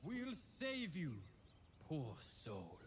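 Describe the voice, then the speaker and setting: Putting on a character voice, a man speaks at a fairly high pitch with very wide pitch swings, and clear background noise can be heard. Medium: video game. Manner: grandiose.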